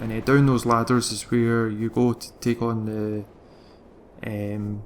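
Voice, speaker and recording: With music in the background, a man of medium pitch speaks in a Glaswegian accent. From Scotland, Glasgow. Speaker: video game guide creator. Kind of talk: gameplay commentary tutorial. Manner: fast; hesitant, many fillers.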